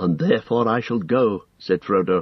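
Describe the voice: What we hear is plain reading aloud.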